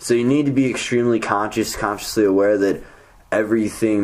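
A man's fairly low-pitched voice with ordinary pitch variation, an ordinary speaking voice. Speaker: podcast host. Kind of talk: casual chat. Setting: studio.

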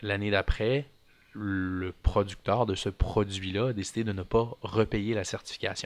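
In a very clean recording with a silent background, the voice moves at a fairly slow pace with monotone, flat intonation. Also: man, fairly low pitch for a man. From Quebec (Montreal). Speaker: micro-greens farmer. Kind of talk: casual interview.

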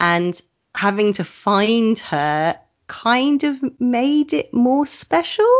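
A woman speaks with a southern English accent. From England, Oxford. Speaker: burlesque performer. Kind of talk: casual chat.

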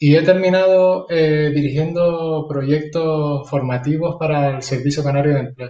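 The voice has a dark, mellow tone and is somewhat breathy. Speech runs at a fairly slow pace with fairly even intonation and hardly any pauses. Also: man, fairly high pitch for a man. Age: 40s. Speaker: martial arts teacher and school counselor. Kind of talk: casual interview chat.

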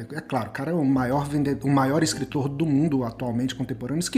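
A man's fairly high-pitched voice with ordinary pitch variation, set against noticeable background noise. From Brazil, interior of Goiás. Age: 30s. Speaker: writer. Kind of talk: interview. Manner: halting, with many repetitions.

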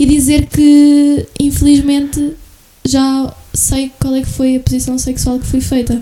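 Soft-spoken and high-pitched, a woman with a European Portuguese accent talks at a very slow pace in a monotone, flat intonation amid noticeable background noise. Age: 20s. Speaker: podcast guest. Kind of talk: casual chat.

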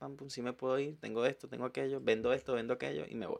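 A man with an ordinary speaking voice, medium pitch and a fairly quick pace. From Venezuela, Valencia. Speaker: journalist. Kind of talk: casual chat. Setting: studio.

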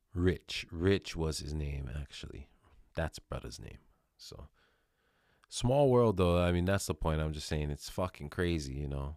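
In a very clean recording with a silent background, a man with a very deep, low voice speaks at a fairly slow pace with ordinary pitch variation. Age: 30s. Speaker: podcast host. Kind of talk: casual monologue. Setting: home recording, new microphone. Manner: casual, heavy swearing.

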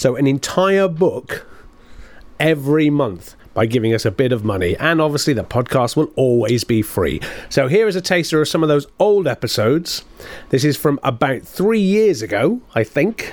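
With a British accent, a man speaks at a moderate pace and very even loudness, his fairly high pitch for a man moving in very wide swings. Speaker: podcast host. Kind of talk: show introduction.

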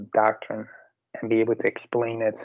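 The man's voice sits at a medium pitch. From Ireland. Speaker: podcast guest. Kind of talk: religious, devotional.

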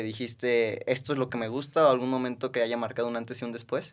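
A man talks at a very fast pace at medium pitch. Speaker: podcast host. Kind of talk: casual interview. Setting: in person studio.

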